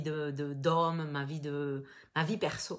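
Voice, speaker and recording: A woman speaks with a southern French accent. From southern France, Toulouse. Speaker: business coach. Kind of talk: live webinar masterclass. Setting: online live stream. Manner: casual, many fillers and repetitions.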